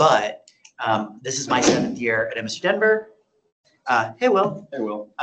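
Noticeable background noise sits behind a man speaking at a fairly slow pace. His fairly high voice moves in very wide pitch swings. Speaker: university administrator. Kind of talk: meeting presentation. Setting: meeting room. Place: meeting room. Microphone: camera far.

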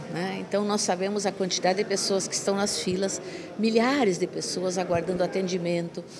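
Moderate pace and ordinary pitch variation from a woman at medium pitch, against noticeable background noise. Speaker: hospital administrator. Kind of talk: news interview. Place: hall. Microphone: handheld.

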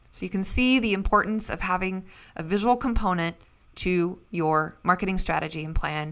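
With an American accent, a woman uses an ordinary speaking voice at medium pitch with ordinary pitch variation. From Idaho, US. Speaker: podcast host. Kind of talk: scripted narration; interview.

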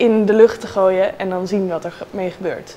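Against light background noise, a woman speaks at a fairly slow pace in a monotone, flat intonation. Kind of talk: interview answer. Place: office. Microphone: lapel.

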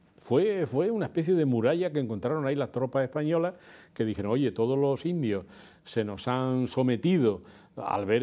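Lively intonation from a man with a dark, mellow tone, at a moderate pace over a quiet background. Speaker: guest. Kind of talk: interview answer. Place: studio. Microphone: lapel.

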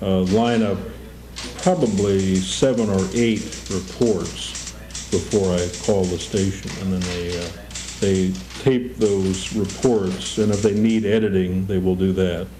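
Over music in the background, a man with an American accent speaks at a very deep, low pitch with ordinary pitch variation. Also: fairly slow pace. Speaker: radio news reporter. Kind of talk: interview answer.

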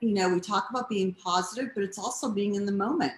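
A woman with an American accent, somewhat breathy, with ordinary pitch variation and audible room echo. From Boston. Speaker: cancer patient and award honoree; guest. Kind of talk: casual interview. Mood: warm, grateful, upbeat. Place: home room. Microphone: video call.

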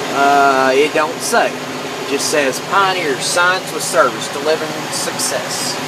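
Heavy background noise surrounds a dry recording that carries no echo. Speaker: tractor driver. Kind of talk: casual vlog commentary. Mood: curious, relaxed. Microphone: phone near.

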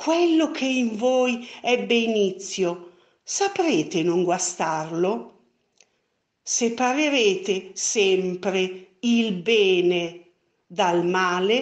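In a theatrical tone, a woman with a medium-pitched voice speaks at a very slow pace with lively intonation and very even loudness. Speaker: library video presenter reading a poem. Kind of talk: poetry reading, slow and solemn, after an ornate, flowery introduction. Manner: measured, tender and lyrical, with reverent pauses between lines; formal, effusive and theatrical in the introduction.

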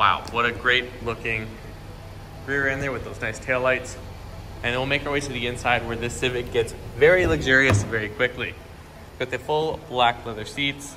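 There is noticeable background noise behind a man speaking with fairly even intonation. He leaves long, frequent pauses. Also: moderate pace. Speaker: car salesperson. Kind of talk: product walkaround commentary. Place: shop. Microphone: phone near.

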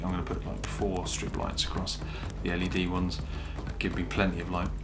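A man talks at a fairly quick pace, with music in the background. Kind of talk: casual vlog chat. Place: home room. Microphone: phone near.

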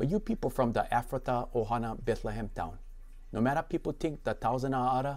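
This man's voice is fairly high and carries vocal fry. His intonation is lively and his pace is moderate. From Hawaii. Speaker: pastor. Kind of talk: scripture reading. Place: home room. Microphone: lapel.

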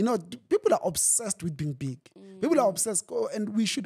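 Over a quiet background, a man speaks in a high, dark, mellow voice. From South Africa. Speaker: pastor. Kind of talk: interview. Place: studio. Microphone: studio mic.

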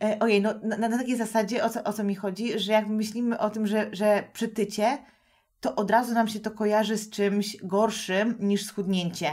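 Fairly high female voice at a middling pace, the intonation fairly level. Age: 30s. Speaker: podcast host and nutrition coach. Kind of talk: casual interview chat.

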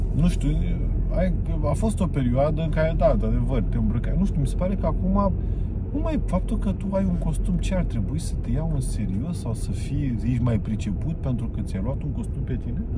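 A man at a moderate pace, dry sound with no echo, loud background noise around him. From Romania. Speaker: stand-up comedian. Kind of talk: casual chat. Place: car. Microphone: camera far.

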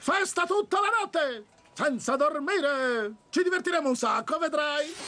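This cartoonish character voice is high-pitched and moves at a moderate pace. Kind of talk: children's cartoon dub. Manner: easygoing, exasperated, then goofy and cheerful.

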